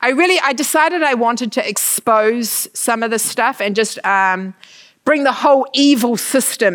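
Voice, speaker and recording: In a New Zealand accent, a woman with a fairly high pitch speaks with lively intonation. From New Zealand, Manawatu. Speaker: missionary. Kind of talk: church talk.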